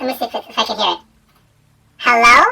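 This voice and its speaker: Someone rattles off lines at a very fast pace in a put-on character voice that is shrill and fairly high-pitched. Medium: actual play.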